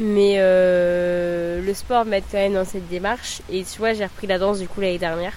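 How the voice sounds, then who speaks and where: Over noticeable background noise, a woman talks at a moderate pace with monotone, flat intonation. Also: medium pitch for a woman. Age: 20s. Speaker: early childhood educator. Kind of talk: testimony.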